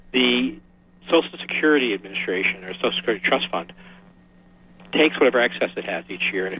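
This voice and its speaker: Over noticeable background noise, a man with a medium pitch talks at a very fast pace with long, frequent pauses, lively intonation and big swings in loudness. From Massachusetts, Boston area. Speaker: engineering manager and independent researcher. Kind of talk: radio interview.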